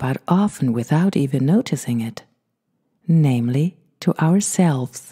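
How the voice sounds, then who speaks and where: Speaking at a fairly slow pace, a woman with a very deep, low pitch and a dark, mellow, somewhat breathy voice keeps a calm tone and lively intonation, the sound dry and close with no echo. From Germany. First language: German. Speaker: meditation podcast host. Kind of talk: podcast introduction before guided meditation. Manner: slow, calm.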